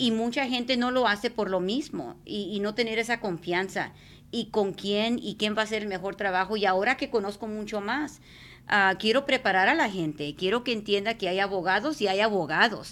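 In a very clean recording with a silent background, a woman speaks in a normal speaking voice, fairly high in pitch, at a moderate pace with ordinary pitch variation. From South Texas (Mercedes, border). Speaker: radio host and immigrant rights activist. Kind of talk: casual chat.

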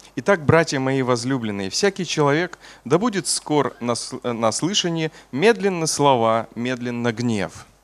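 A man talks at a fairly slow pace. His intonation is lively. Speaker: preacher. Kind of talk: sermon. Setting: church. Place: church. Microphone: podium.

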